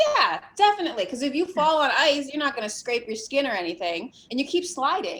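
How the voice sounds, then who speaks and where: The pitch swings very widely at a fairly quick pace, with hardly any pauses. Noticeable background noise sits behind it. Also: woman, high pitch for a woman. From New England. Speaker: artist and content creator. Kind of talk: casual chat.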